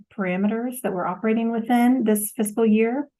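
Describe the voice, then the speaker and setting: Fairly even intonation against a quiet background. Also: woman. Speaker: finance administrator. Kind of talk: budget presentation. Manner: formal.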